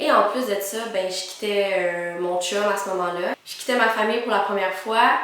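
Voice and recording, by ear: A woman at a medium pitch, fairly bright in tone and fairly quick, with ordinary pitch variation and strong room echo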